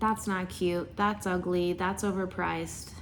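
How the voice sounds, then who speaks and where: Noticeable background noise and audible room echo surround a woman with a fairly low pitch. She speaks at a moderate pace in a monotone, flat intonation. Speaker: unboxing YouTuber. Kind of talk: casual vlog unboxing. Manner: loud.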